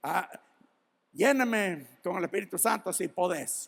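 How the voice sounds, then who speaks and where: A man at a high pitch with ordinary pitch variation and a very slow pace. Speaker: pastor. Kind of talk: sermon. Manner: halting, many repetitions.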